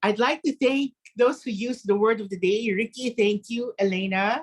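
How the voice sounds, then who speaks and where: A woman speaks with a non-native accent at a fairly high pitch and ordinary pitch variation. The sound is dry and close, with no echo. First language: not English. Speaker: grammarian at a speaking club. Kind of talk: meeting report.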